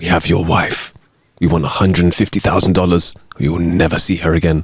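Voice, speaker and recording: Using a put-on character voice, a man speaks raspy and very deep, in a flat monotone at a fairly quick pace. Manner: menacing, blunt.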